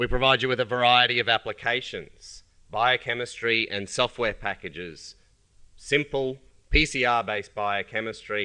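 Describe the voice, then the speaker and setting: In a very clean recording with a silent background, a man with an Australian accent speaks at a medium pitch in a bright, sharp tone. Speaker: company scientist presenting products. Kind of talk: conference presentation.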